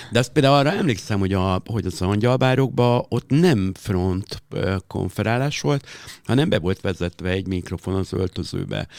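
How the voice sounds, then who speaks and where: A man uses a normal speaking voice with a fairly low pitch. He talks at a moderate pace with lively intonation. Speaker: drag performer and club host. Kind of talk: interview.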